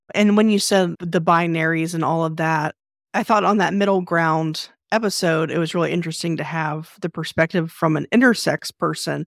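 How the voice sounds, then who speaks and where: In an unremarkable speaking voice, a woman with fairly low pitch talks at a moderate pace, recorded very cleanly with a silent background and a dry, close sound with no echo. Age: 40s. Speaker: podcast host. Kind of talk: interview; promo read.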